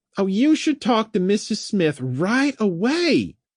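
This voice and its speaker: A put-on character voice sits at a fairly high pitch and makes very wide pitch swings. The background is quiet. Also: fairly slow pace. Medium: read story. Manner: chatty, warm.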